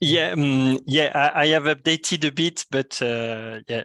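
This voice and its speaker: A man speaks with a strong French accent and a fairly high pitch. His pitch varies in an ordinary way, and the sound is dry and close with no echo. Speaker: solutions architect. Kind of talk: technical presentation. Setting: video call. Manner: hesitant, many fillers.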